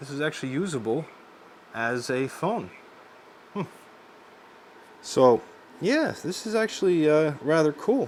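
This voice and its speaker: A man's fairly high voice with lively intonation, at a fairly slow pace with long, frequent pauses. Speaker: tech reviewer. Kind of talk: product review narration. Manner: casual, hesitant with fillers.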